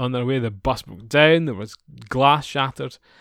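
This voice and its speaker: This man has a Scottish accent, a medium pitch and lively intonation. The recording is very clean, with a silent background. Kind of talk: casual chat.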